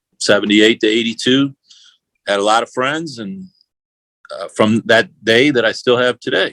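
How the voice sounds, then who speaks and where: A man with a St. Louis accent talks at a fairly slow pace and medium pitch, his tone bright and sharp, in a dry, close sound with no echo. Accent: St. Louis Midwestern American. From US Midwest, St. Louis. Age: 60s. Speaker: whiskey brand owner. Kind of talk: interview. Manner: hesitant, many fillers.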